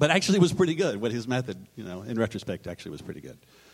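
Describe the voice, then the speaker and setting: Very wide pitch swings from a man with an American accent. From Texas. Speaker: television comedy writer. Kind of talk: live panel discussion. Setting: stage with audience.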